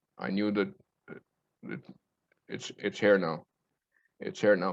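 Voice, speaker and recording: A man with a fairly low-pitched voice. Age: 60s. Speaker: spiritual speaker. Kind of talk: talk on spirituality. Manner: halting.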